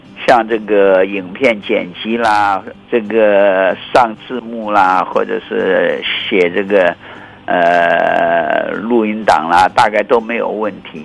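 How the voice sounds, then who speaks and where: Speaking very slowly with fairly even intonation, a man with a fairly low voice is heard over noticeable background noise. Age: 80s. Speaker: meteorologist. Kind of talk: interview. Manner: halting, with frequent fillers.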